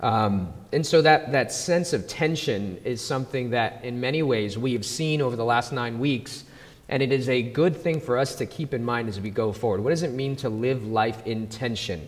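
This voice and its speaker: In a plain, everyday voice, a man speaks at a moderate pace and medium pitch with ordinary pitch variation and hardly any pauses. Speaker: pastor. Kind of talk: sermon intro and prayer in church. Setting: church. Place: stage. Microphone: handheld.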